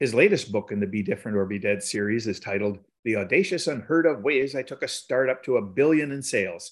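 A man's plain, everyday voice, fairly quick in pace, with ordinary pitch variation. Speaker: podcast host. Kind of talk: casual interview.

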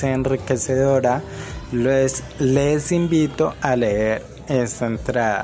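Noticeable background noise sits behind this recording. A man speaks very slowly at a medium pitch. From Colombia, Cali. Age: 20s. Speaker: social worker. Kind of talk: recorded self-presentation. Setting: self-recorded audio message.

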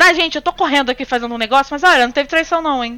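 A woman's raised, projected voice, high in pitch, with a bright, sharp tone and ordinary pitch variation. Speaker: podcast co-host. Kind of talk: casual chat. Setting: remote recording with headphones. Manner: fast, rambling.

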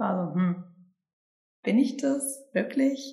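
The voice moves at a very slow pace with lively intonation. An audible room echo surrounds it. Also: woman. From Sauerland, Germany. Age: 20s. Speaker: human design coaching team member. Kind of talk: casual interview chat. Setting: recorded together in a house by the forest.

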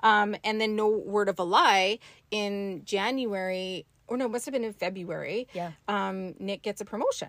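Moderately paced, this woman's voice sits at a medium pitch. Her intonation is fairly even. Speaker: spiritual teacher. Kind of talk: casual chat. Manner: soft-spoken.

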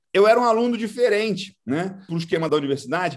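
A man with a high-pitched voice. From Brazil, Goiás. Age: 40s. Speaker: agribusiness entrepreneur. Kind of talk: interview.

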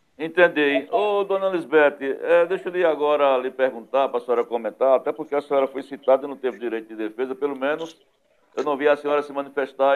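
Speaking at a fairly quick pace, this man has a fairly high pitch. His pitch varies in an ordinary way. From Northeast Brazil, Pernambuco sertão. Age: 50s. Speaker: web TV news host. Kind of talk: talk show interview. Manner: animated.

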